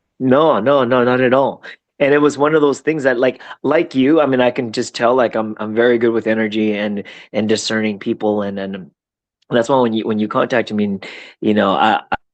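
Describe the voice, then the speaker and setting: A man talks at a fairly quick pace in an ordinary speaking voice, his medium pitch showing ordinary variation. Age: 40s. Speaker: entrepreneur. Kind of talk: podcast conversation.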